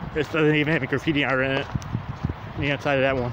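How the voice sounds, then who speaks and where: A man's fairly quick talking comes through noticeable background noise. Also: dry sound with no echo. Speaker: urban explorer vlogger. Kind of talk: casual vlog chat. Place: open country. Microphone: phone near.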